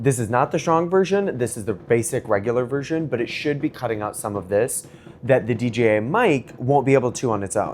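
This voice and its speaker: A man's medium-pitched voice with lively intonation at a fairly quick pace, over noticeable background noise. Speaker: tech reviewer. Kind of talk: product review and mic test. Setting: backyard, then indoors at home. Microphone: small wireless clip-on mic, far from camera.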